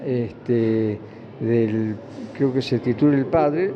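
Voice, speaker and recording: A man speaks very slowly with ordinary pitch variation. Noticeable background noise runs beneath him. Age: 80s+. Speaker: retired trade unionist. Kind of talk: interview. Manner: halting.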